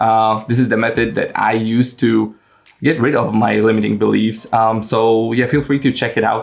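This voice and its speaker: A man with a Polish accent, at a moderate pace. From Poland, small village. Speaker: English learning coach and YouTuber. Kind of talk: casual vlog talk to camera. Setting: at home in his room. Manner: frequent fillers and hesitations.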